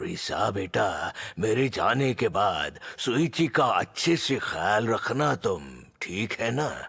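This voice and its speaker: A man's put-on character voice at medium pitch, very slow in pace with hardly any pauses. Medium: fan dub. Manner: fatherly, affectionate.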